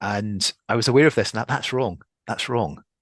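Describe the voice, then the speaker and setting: The speaker is a man with a Scottish accent. The sound is dry and close, with no echo. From Scotland. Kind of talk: podcast interview. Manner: halting, many repetitions.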